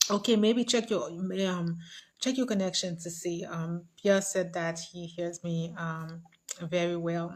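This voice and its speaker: Somewhat breathy and fairly low-pitched, a woman speaks at a fairly slow pace with fairly even intonation. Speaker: livestream host. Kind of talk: casual livestream chat.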